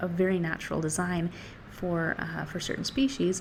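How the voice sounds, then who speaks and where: This woman's pitch is fairly low. She has a plain, everyday voice and speaks at a moderate pace. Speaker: book reviewer. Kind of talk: casual talk to camera. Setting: outdoors.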